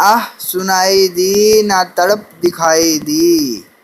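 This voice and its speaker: A man speaks with a high pitch and ordinary pitch variation. Background noise is noticeable. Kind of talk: poetry reading.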